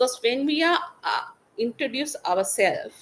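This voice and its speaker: A woman with a Tamil accent. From Sri Lanka. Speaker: webinar speaker on gender-based violence. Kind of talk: presentation. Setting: webinar. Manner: halting, with fillers and self-corrections.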